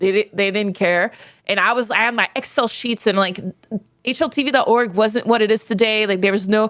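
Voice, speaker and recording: Speaking at a fairly quick pace in a fairly high voice, a woman keeps her intonation fairly even and her loudness very even. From Quebec, Canada. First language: French. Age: 30s. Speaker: esports player and analyst. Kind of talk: interview.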